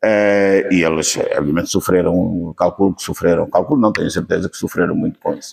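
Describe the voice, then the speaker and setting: With a European Portuguese accent, a man talks at a fairly quick pace, his loudness swinging widely. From central Portugal, Leiria region. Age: 70s. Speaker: witness of the revolution. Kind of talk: interview testimony. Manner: hesitant, many fillers.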